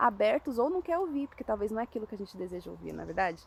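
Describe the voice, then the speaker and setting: Speaking at a very fast pace, a woman with a fairly high pitch sounds somewhat breathy. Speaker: evangelist. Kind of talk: informal sermon. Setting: outdoors.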